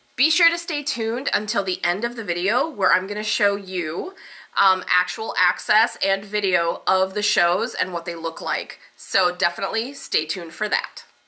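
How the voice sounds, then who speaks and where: Noticeable background noise sits under the voice. The intonation is lively and the pace moderate. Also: woman, medium pitch for a woman. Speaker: youtuber reviewing trade shows. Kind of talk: vlog talk to camera. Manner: casual, with fillers.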